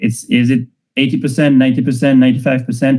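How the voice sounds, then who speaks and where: A man speaks at a very fast pace with a non-native accent. His tone is dark and mellow. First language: not English. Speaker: tech founder and data strategy speaker. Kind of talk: online lecture. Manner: hesitant, many fillers.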